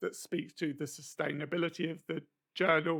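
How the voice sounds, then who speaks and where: A man with a fairly high pitch and a bright, sharp tone talks at a moderate pace with vocal fry. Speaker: university lecturer. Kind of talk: lecture.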